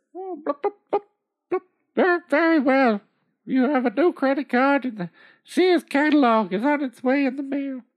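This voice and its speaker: A put-on character voice with a high pitch moves at a moderate pace, broken by long, frequent pauses. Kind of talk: comic overacting. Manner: bubbly burbling, increasingly irritated and sarcastic.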